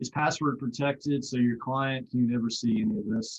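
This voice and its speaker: A man speaks at a moderate pace and medium pitch. His is an unremarkable speaking voice. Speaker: startup founder presenting a product. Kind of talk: webinar product demo.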